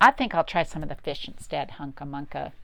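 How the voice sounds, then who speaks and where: A woman's put-on character voice, very deep and low in pitch, on a very clean recording with a silent background. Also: fairly quick pace. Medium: read story. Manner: impatient, grumbling.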